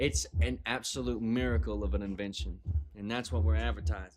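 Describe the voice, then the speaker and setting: A man in a Southern US accent talks at a fairly quick pace with vocal fry and very wide pitch swings. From US South. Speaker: livestreamer. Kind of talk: casual chat. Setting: live stream. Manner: animated.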